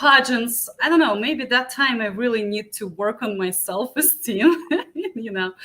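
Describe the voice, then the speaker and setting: With a Ukrainian accent, a woman speaks fairly slowly at a fairly high pitch with lively intonation and big swings in loudness over noticeable background noise. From Ukraine. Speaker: beauty pageant contestant and musician. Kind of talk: interview.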